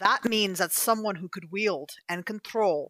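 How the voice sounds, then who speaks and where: A woman speaks at a moderate pace in a bright, sharp tone. The recording is very clean, with a silent background and a dry, close sound with no echo. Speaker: voice actress and player. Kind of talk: tabletop roleplaying game session.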